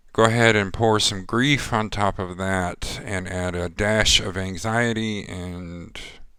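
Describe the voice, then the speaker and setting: The speech moves very slowly with fairly even intonation. Its tone is bright and sharp. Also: man. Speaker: psychic tarot reader vlogger. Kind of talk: personal vlog. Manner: monotone.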